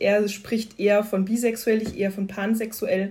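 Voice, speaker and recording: Flat and monotone, a woman's somewhat breathy, medium-pitched voice moves at a moderate pace. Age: 30s. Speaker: employee, member of a workplace LGBTQ+ community. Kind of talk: casual interview.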